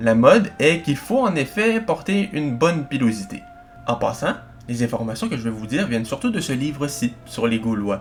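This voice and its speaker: A Quebec accent at a moderate pace, with very wide pitch swings over music in the background. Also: man. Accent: Québécois. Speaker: history YouTuber. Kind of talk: educational video narration.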